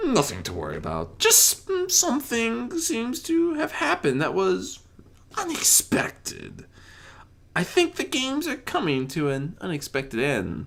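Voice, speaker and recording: Someone puts on a character voice with fairly high pitch. The pace is moderate. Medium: read story. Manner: playful, theatrical.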